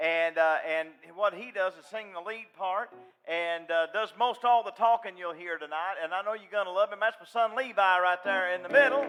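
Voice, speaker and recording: A man with a Southern accent speaks at a high pitch with ordinary pitch variation and big swings in loudness, over noticeable background noise. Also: moderate pace. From US South, western North Carolina. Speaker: gospel singer. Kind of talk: stage banter. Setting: stage with audience.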